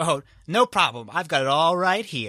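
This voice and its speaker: At a moderate pace, a man puts on a character voice at a fairly high pitch. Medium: actual play. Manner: hesitant, nervous.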